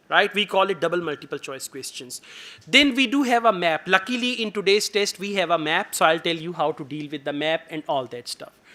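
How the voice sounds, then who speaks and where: A man with a Pakistani accent, high-pitched and bright, sharp in tone, at a fairly quick pace with lively intonation and big swings in loudness. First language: Urdu. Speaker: IELTS teacher. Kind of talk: lecture.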